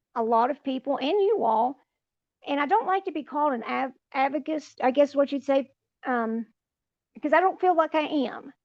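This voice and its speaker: A woman's high voice in an Appalachian accent, with ordinary pitch variation. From West Virginia, Appalachia. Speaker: retired nurse and mother. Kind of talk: podcast interview. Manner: halting.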